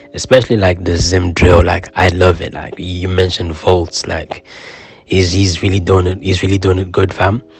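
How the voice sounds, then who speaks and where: With music in the background, a man speaks at a moderate pace in a very deep, low voice and a monotone, flat intonation. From Zimbabwe. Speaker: rapper. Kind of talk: podcast interview. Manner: casual, many fillers.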